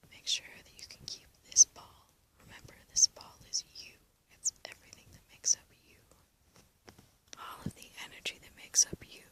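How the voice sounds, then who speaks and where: A woman whispers with big swings in loudness and long, frequent pauses, with noticeable background noise behind her. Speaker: ASMR artist, guided relaxation guide. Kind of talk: guided relaxation. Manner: soft-spoken, whispered, slow.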